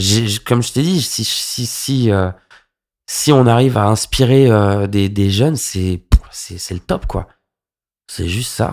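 A man with a fairly low voice talks very slowly, leaving long, frequent pauses, with ordinary pitch variation on a very clean recording over a silent background. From Paris suburbs, Val-d'Oise (95). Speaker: club DJ. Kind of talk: casual interview.

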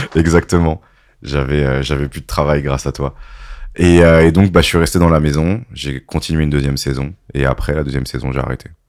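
With a very deep, low voice, a man talks at a fairly quick pace and keeps his intonation fairly even. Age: 30s. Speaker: DJ. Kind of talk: casual chat.

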